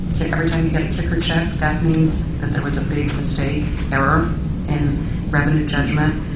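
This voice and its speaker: The speech moves at a fairly quick pace. Loud background noise and audible room echo fill the recording. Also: woman. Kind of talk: formal testimony. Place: meeting room. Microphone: podium.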